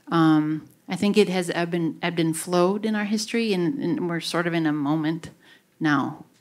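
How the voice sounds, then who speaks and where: With a Wisconsin accent, the speaker keeps a moderate pace and ordinary pitch variation. The recording is very clean, with a silent background. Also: woman, fairly low pitch for a woman. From Wisconsin, US (Grafton). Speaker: university researcher and author. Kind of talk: public talk Q&A.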